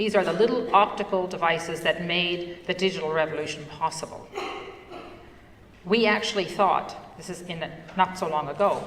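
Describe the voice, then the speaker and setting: With a Newfoundland accent, a woman with a fairly low voice talks at a moderate pace and fairly even intonation, over noticeable background noise and audible room echo. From Newfoundland, Canada (Fogo Island). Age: 60s. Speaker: entrepreneur and conference speaker. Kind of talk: conference talk.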